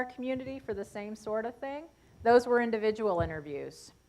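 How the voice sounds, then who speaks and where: A woman speaks in a plain, everyday voice at a fairly high pitch. Her pace is moderate. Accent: American. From Seneca Nation, western New York. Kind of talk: lecture Q&A answer.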